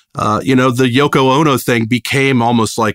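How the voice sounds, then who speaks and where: Speaking at a fairly quick pace with an American accent, a man has an unremarkable speaking voice, heard in a dry, close sound with no echo. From Richmond, Virginia (US South). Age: 50s. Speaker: rock bassist. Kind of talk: casual interview chat.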